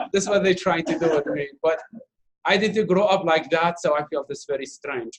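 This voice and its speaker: Here a man speaks with an Arabic accent. His pitch is high. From Iraq. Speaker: refugee speaker, volunteer interpreter. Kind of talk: Q&A after documentary screening. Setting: university talk with audience, streamed online.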